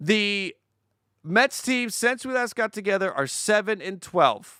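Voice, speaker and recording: Speaking fairly slowly in a high, raised and projected voice, a man sounds animated and excited, with lively intonation and a bright, sharp tone, on a very clean recording with a silent background. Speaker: sports YouTuber, baseball rankings host. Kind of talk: live stream commentary, power rankings. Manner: animated, excited.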